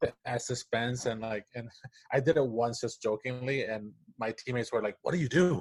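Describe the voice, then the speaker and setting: With a Spanish accent, a man speaks somewhat breathily at a moderate pace, with medium pitch and ordinary pitch variation, in a dry, close sound with no echo. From Puerto Rico. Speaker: animator and story writer. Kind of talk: casual interview chat. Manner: halting, many false starts.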